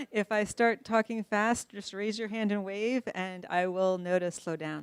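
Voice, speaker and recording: A woman with a plain, everyday voice speaks at a fairly slow pace, and the sound is dry and close with no echo. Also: medium pitch for a woman, fairly even intonation. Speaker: researcher. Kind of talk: lecture.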